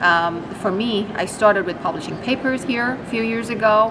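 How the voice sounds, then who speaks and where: A woman's voice with ordinary pitch variation and noticeable background noise. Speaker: startup co-founder and CTO. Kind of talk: interview about technology. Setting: expo interview. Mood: warm, enthusiastic. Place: hall.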